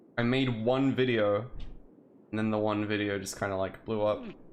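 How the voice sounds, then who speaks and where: Speech at a moderate speed, with fairly even intonation, rings with audible room echo. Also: man, long, frequent pauses. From Turkey. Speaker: streamer. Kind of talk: casual chat.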